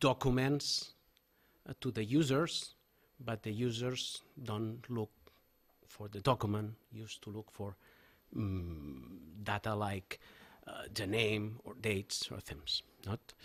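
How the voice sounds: A man with a Catalan accent speaks slowly, his pitch fairly low. His pitch moves in an ordinary way.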